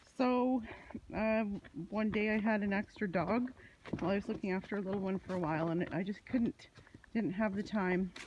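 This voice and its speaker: A woman speaks at a moderate pace with long, frequent pauses, her medium-pitched, somewhat breathy voice holding very even loudness and ordinary pitch variation. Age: 60s. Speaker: vlogger. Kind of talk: casual monologue. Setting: outdoors on a walk. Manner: hesitant, many fillers.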